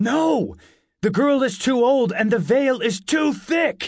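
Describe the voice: Doing a put-on character voice, a man speaks slowly at an extremely high pitch with vocal fry and lively intonation. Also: very clean recording, silent background.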